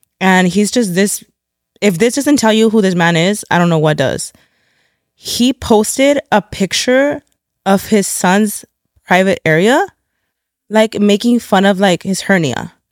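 A woman with an American accent talks in an animated tone at a medium pitch with lively intonation and very even loudness. Her pace is fairly slow, with long, frequent pauses, and the sound is dry and close with no echo. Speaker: podcast host. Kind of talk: casual chat.

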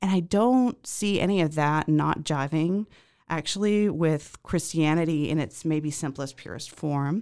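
Speaking with an American accent, a woman uses a very deep, low pitch at a fairly slow pace in a very clean recording with a silent background. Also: ordinary pitch variation. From Zimbabwe, later US. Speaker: podcast guest sharing life story. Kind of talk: interview, personal testimony. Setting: podcast studio.

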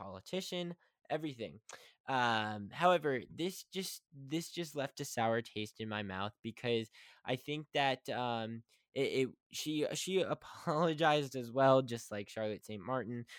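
A man of medium pitch speaks at a fairly slow pace with lively intonation, the sound dry and close with no echo on a very clean recording with a silent background. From West Virginia. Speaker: podcast host. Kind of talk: casual monologue. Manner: halting.

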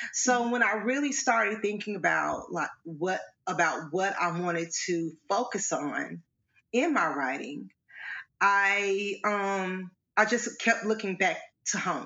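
A woman with an Arkansas accent talks very slowly at a medium pitch, with lively intonation. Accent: Southern US (Arkansas). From Arkansas, US South. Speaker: playwright and educator. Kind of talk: interview conversation. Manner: halting, many fillers.

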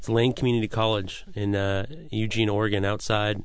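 Speaking at a moderate pace, a man with an American accent has a fairly low voice. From US Pacific Northwest, Washington state. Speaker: chef. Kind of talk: radio interview. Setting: radio studio.

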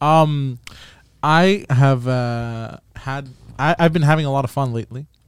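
In a very clean recording with a silent background, a man with an unremarkable speaking voice talks fairly high in pitch at a fairly slow pace, with ordinary pitch variation. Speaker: friend of the hosts. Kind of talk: casual chat.

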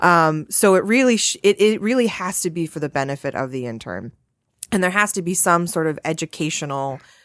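A woman's ordinary speaking voice, fairly low in pitch, with lively intonation, an American accent and a fairly quick pace, on a very clean recording with a silent background. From Massachusetts. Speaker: employment lawyer. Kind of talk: casual chat.

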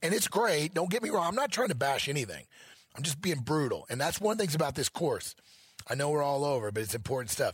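Fairly high-pitched and somewhat breathy, a man with an American accent talks at a very fast pace with very wide pitch swings. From Missouri. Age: 50s. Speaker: elk hunting educator. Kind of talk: interview. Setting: event venue.

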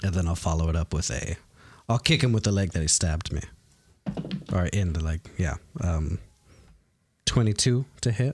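A man talks with lively intonation at a moderate pace, sounding somewhat breathy. The recording is very clean, with a silent background. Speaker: player in the tabletop RPG. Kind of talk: casual tabletop roleplaying game chat. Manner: casual, joking, laughs often.

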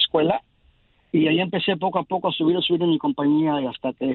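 The man's voice is fairly high in pitch. He talks at a fairly quick pace. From Mexico. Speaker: communications technician. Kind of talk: interview.

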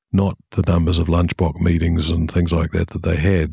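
On a very clean recording with a silent background, a man with a very deep, low pitch speaks somewhat breathily at a very fast pace in a monotone, flat intonation. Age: old. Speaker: organizational consultancy chairman. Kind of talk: casual interview, explaining history.

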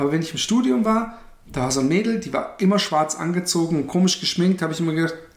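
A man with a high voice talks at a very fast pace, his intonation lively. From Karlsruhe, Germany. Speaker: podcast co-host. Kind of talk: casual chat.

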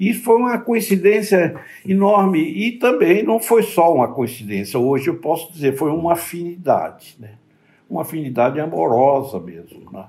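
This man has a high pitch and a dark, mellow tone. He talks at a moderate pace with very wide pitch swings and big swings in loudness. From Bahia, Brazil. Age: 80s+. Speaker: psychiatrist. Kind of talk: interview.

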